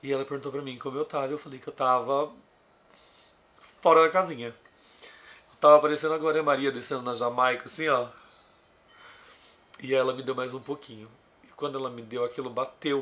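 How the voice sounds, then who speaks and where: A man with a fairly high pitch and a bright, sharp tone talks at a fairly quick pace with fairly even intonation. Long, frequent pauses and big swings in loudness mark his speech. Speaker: vlogger. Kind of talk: personal storytelling.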